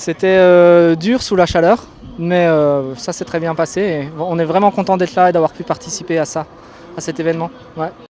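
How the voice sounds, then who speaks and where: The speech comes at a moderate pace. Noticeable background noise sits behind it. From Alsace, France. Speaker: tandem pilot. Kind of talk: interview.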